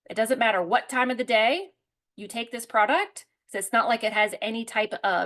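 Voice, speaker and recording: Her pitch fairly high, a woman speaks at a fairly quick pace. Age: 40s. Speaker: herbalist and product presenter. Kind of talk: product presentation with live Q&A. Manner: fast; animated.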